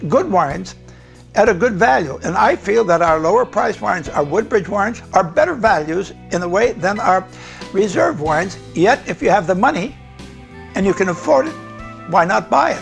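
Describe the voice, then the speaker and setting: Faint music plays in the background as a man with an American accent speaks. His pitch is high and his intonation lively. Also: moderate pace. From United States. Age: 80s+. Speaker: winemaker. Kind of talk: interview answer. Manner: vigorous. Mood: warm, relaxed. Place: home room. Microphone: lapel.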